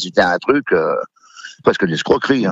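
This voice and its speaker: A man speaks at a very fast pace. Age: 60s. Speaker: butcher, former gambling addict. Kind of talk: testimony. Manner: hesitant, many fillers.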